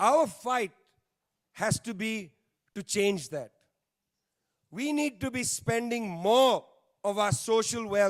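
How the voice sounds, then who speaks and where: A high-pitched man with an Indian accent at a very slow pace, ordinary pitch variation, very clean recording with a silent background. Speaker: panel speaker, political commentator. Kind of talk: panel speech. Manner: emphatic, repetitive.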